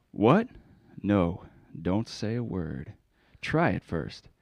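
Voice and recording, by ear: Putting on a character voice, a man speaks slowly at a low pitch with vocal fry, a slightly mellow tone and big pitch swings.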